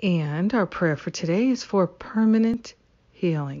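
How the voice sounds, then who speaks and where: In a plain, everyday voice, a woman talks at a moderate pace and medium pitch. Her intonation is lively. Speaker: spiritual prayer leader. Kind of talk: fervent spoken prayer, affirmations, invocation. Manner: warm, gentle, devout, repetitive cadence.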